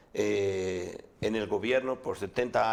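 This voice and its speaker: A man is speaking. His pace is very slow. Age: 60s. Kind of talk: radio interview.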